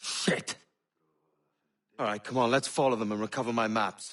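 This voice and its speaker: A raspy put-on character voice from a man, medium in pitch, with fairly even intonation at a moderate pace. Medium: video game. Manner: brusque, swearing.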